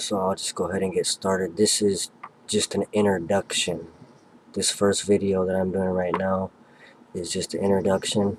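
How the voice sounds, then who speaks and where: Soft-spoken and very deep, a man talks at a moderate pace in a monotone, flat way, the sound dry and close with no echo despite noticeable background noise. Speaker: history and religion YouTuber. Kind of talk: casual video introduction. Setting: at home, family sleeping nearby. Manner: quiet, soft-spoken.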